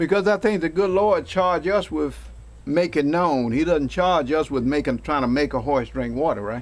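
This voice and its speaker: A man talks at a moderate pace with a fairly high pitch and lively intonation. He has an unremarkable speaking voice. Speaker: talk show host. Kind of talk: interviewer questions.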